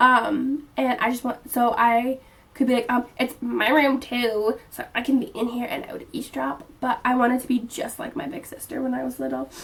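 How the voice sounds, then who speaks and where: Against noticeable background noise, a woman talks at a moderate pace with a high pitch, fairly even intonation and hardly any pauses. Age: 20s. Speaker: vlogger. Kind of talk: casual chat.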